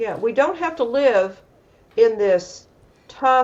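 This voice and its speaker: Pitch leaps up and down across a very wide range. It comes with an American accent. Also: woman. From US South (Atlanta, Georgia). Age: 70s. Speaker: emotional wellness coach. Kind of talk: casual interview chat.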